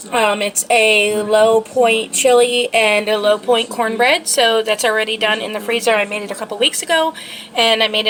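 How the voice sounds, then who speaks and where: A woman with a fairly high pitch talks at a moderate pace with hardly any pauses. Noticeable background noise runs behind her. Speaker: lifestyle vlogger. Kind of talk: casual vlog talk. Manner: filler-heavy, hesitant.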